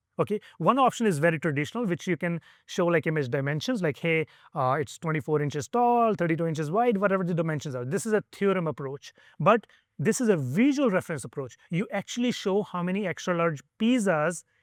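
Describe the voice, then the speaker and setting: A man speaks at a fairly quick pace in a high pitch with lively intonation, in dry, close sound with no echo on a very clean recording with a silent background. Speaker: conference speaker on online selling. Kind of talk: conference talk. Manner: fast; animated, many fillers.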